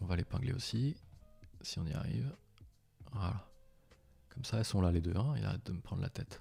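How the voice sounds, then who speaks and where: Speaking at a fairly quick pace, a man with a fairly low pitch and vocal fry uses lively intonation and leaves long, frequent pauses. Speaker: software tools tutorial creator. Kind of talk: live screen-share tutorial. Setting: live stream. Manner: fast; casual, conversational.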